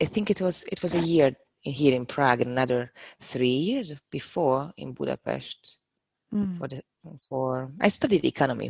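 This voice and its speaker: A woman speaks with a Hungarian accent at a moderate pace. Her very deep, low pitch has ordinary pitch variation and vocal fry. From Hungary. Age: 30s. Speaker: yoga teacher. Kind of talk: casual interview.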